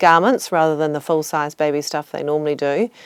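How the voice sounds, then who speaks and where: A woman with a plain, everyday voice, fairly low in pitch and fairly quick in pace. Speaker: charity foundation CEO. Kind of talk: interview answer.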